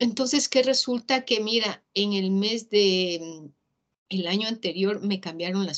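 A woman speaks in an unremarkable speaking voice. Her pitch is medium, with ordinary variation. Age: 50s. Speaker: motivational speaker. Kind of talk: casual interview.

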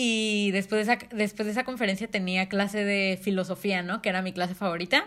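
Using a normal speaking voice, a woman with a medium pitch talks at a fairly quick pace with fairly even intonation and hardly any pauses. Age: young. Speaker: podcast co-host, marketing student. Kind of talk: casual chat.

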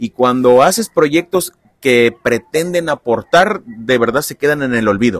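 With an unremarkable speaking voice, a man speaks at a fairly slow pace with lively intonation, in a dry, close sound with no echo. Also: medium pitch for a man. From Mexico, Veracruz (Lerdo de Tejada). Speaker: podcast host. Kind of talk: casual interview. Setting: outdoors at a football field.

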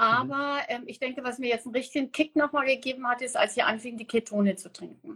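A woman's high, bright, sharp voice at a very fast pace with hardly any pauses, big swings in loudness and ordinary pitch variation. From Namibia. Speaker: guest sharing diet experience. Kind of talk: casual interview on a livestream. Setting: Instagram live stream.

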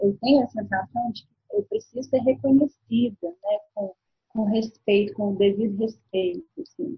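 A woman's voice, fairly high in pitch. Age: 40s. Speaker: guest talking about her zodiac sign. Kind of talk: casual chat. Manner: halting.

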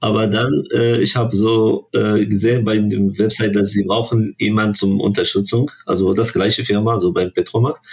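A man talks at a fairly low pitch and a moderate pace. His intonation is fairly even, with hardly any pauses. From Morocco. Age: 20s. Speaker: international student. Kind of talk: casual interview. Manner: halting, searching for words.

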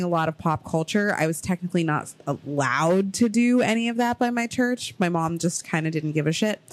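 The speaker has an ordinary speaking voice with an American accent. Pitch varies in an ordinary way. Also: woman. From Ohio, US. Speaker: podcast host. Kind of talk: casual chat.

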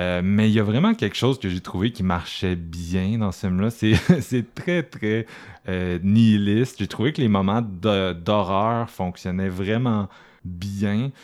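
A man with a Quebec accent speaks at a very slow pace, his fairly low pitch showing ordinary variation. The recording is very clean, with a silent background. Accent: Québécois French. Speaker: horror film podcast host. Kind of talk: casual chat.

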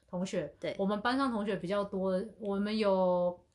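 This woman has a plain, everyday voice. She talks at a moderate pace with a medium pitch. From Asia. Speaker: podcast co-host. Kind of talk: casual chat.

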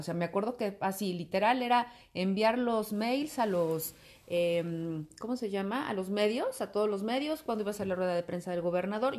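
With ordinary pitch variation and a moderate pace, a woman talks over a quiet background. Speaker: commercial voice-over announcer and teacher. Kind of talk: casual interview chat. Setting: at home.

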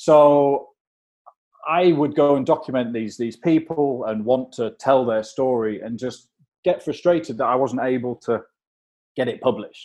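In an English accent, a man with a dark, mellow tone and a medium pitch speaks at a moderate pace with ordinary pitch variation. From England. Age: 40s. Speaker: documentary photographer. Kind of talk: interview conversation. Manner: halting, with repeated words and fillers.

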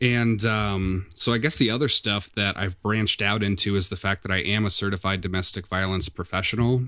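In a very clean recording with a silent background, a man with a Midwestern American accent talks at a fairly quick pace with hardly any pauses, his pitch fairly low and his intonation fairly even. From US Midwest, Quad Cities (Iowa-Illinois border). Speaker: domestic violence program supervisor. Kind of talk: interview.

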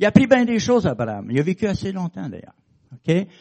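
A man speaks at a fairly quick pace. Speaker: preacher. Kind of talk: sermon. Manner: conversational, hesitant with fillers.

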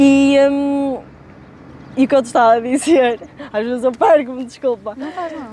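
A woman's high-pitched voice at a moderate pace, with long, frequent pauses, ordinary pitch variation, big swings in loudness and noticeable background noise. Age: 20s. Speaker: fitness trainer. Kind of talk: casual chat.

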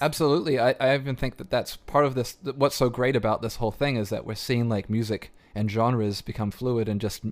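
With a New Zealand accent, a man speaks in a fairly even intonation. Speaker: podcast host and DJ. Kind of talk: casual interview chat.

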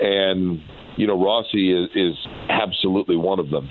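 Over noticeable background noise, a man speaks in a very deep, low pitch. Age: 40s. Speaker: motorsport radio announcer. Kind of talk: interview conversation. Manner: hesitant with fillers.

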